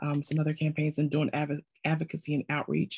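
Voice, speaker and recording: The speaker has an American accent and a somewhat breathy voice, recorded with a dry, close sound and no echo. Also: woman. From South Carolina. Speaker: participant in advocacy course. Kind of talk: self-introduction in a video meeting.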